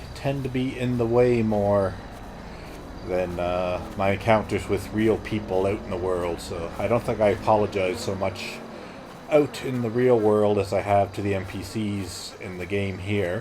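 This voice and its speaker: Over noticeable background noise and audible room echo, a man speaks in a relaxed tone at a fairly slow pace, with a fairly low pitch and fairly even intonation. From Canada. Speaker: video game streamer. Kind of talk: casual gameplay commentary. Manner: relaxed, with frequent fillers.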